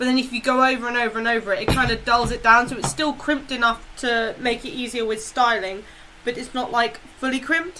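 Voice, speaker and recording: A woman speaks loudly at a very fast pace and high pitch over noticeable background noise. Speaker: streamer and cosplayer. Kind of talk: casual chat. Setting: live stream on camera. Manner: animated.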